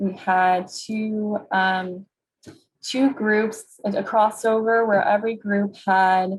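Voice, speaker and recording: Very slowly, a woman speaks in a somewhat breathy, fairly high voice with monotone, flat intonation. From US Northeast, New York City. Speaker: clinical psychologist and researcher. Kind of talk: webinar presentation.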